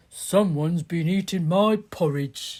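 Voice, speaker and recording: A put-on character voice of middle pitch moves at a fairly slow pace. The recording is very clean, with a silent background. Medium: read story.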